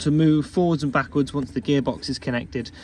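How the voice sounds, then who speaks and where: Over noticeable background noise, a man speaks at a very fast pace and a fairly high pitch. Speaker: classic car restorer, DIY video host. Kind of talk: tutorial. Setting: garage. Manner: casual, a bit halting.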